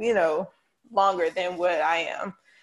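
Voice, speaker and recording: A woman with a North Carolina accent at a medium pitch. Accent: US South, North Carolina. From Charlotte, North Carolina. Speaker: PR specialist. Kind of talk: casual chat.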